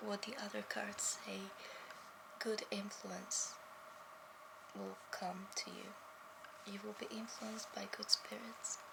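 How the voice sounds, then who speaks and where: Whispering at a fairly slow pace, a woman leaves long, frequent pauses over loud background noise. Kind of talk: ASMR role play. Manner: soft-spoken.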